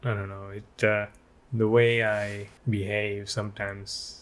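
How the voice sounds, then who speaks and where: A man speaks quietly at a fairly low pitch. His pace is fairly slow. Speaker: vlogger co-host. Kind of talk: casual chat. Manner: monotone.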